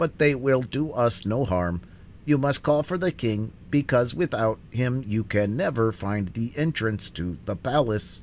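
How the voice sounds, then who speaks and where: Using a put-on character voice, a man delivers lively intonation at a moderate pace and medium pitch, with clear background noise behind him. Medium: read story.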